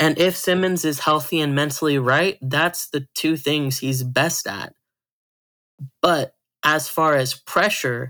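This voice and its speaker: A man with an American accent and fairly high pitch shows ordinary pitch variation on a very clean recording with a silent background. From Arizona. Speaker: sports pundit. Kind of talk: casual chat.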